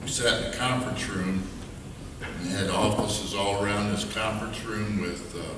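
Amid noticeable background noise and audible room echo, a man speaks fairly slowly in a fairly low voice. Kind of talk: memorial speech. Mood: warm, reminiscing. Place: church. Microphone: podium.

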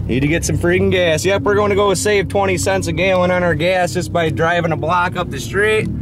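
A man speaks at a moderate pace. The sound is dry with no echo, but with noticeable background noise. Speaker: vlogger. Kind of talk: casual vlog chat. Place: car. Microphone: phone near.

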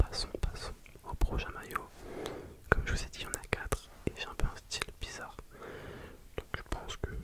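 Whispering and soft-spoken, a man talks at a moderate pace. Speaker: ASMR creator. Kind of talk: soft whispered ASMR chat. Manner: soft close-mic ASMR whisper. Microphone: studio mic.

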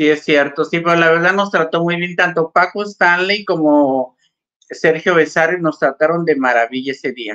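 A woman talks at a moderate pace with ordinary pitch variation in a plain, everyday voice over a quiet background. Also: fairly low pitch for a woman. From Mexico. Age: 50s. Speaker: actress. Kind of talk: casual chat. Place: home room. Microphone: video call.

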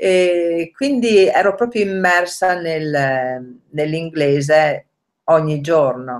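Over a quiet background, a woman speaks with a very deep, low pitch. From northern Italy, Rovereto (Trentino); Trentino, Italy. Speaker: language learner, nanny; interviewee. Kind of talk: interview. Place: kitchen. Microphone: webcam.

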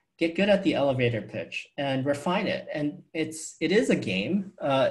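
With an American accent, a man is talking. Behind him, the background stays quiet. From New York City. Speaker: venture capitalist; guest. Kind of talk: fireside chat interview. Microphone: earbuds.

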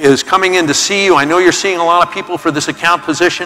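A man's high-pitched voice at a very fast pace, with faint music in the background. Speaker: keynote speaker. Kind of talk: motivational talk. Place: stage. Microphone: lapel.

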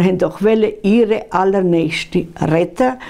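A woman is speaking. She talks at a very slow pace. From Bessarabia, Swiss settler village. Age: 80s+. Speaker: contemporary witness. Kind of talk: interview answer. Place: home room.

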